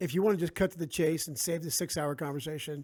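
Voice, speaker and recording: On a very clean recording with a silent background, a man with a New Jersey accent speaks in a fairly high pitch with a dark, mellow tone and ordinary pitch variation. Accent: New Jersey American. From South Jersey, US. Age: 50s. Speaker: author. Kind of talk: casual interview chat.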